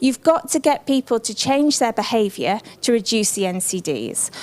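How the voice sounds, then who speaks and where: A woman with an English accent speaks at a moderate pace, her fairly high voice rising and falling in a lively way. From England. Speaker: social marketing expert. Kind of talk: conference presentation. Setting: conference room with audience.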